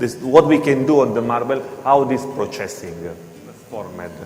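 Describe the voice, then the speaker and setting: A man's medium-pitched voice with a non-native accent, amid noticeable background noise and audible room echo. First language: not English. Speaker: floor grinding equipment presenter. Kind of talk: seminar presentation. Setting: hotel seminar with audience. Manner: halting.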